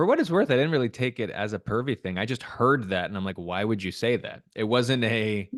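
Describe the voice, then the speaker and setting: An ordinary speaking voice from a man at medium pitch, hardly any pauses, and a dry, close sound with no echo against a quiet background. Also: ordinary pitch variation, fairly quick pace. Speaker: real estate podcast co-host. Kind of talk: casual chat.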